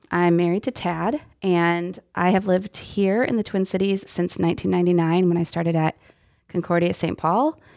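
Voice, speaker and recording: In a very clean recording with a silent background, a woman with a normal speaking voice and an American accent speaks at a fairly low pitch and a moderate pace, her intonation fairly even and her loudness very even. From Texas. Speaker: youth ministry director. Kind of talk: casual interview chat. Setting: studio, windowless room.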